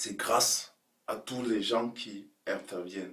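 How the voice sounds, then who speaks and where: This is a man speaking. His pitch is fairly low. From Cameroon. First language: Cameroonian local language (speaking French). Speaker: video blogger. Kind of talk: casual vlog monologue. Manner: halting.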